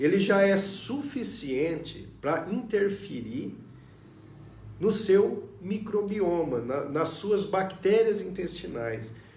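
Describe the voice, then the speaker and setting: Lively intonation with audible room echo. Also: man. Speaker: neurologist. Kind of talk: live stream health talk. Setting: Facebook live stream.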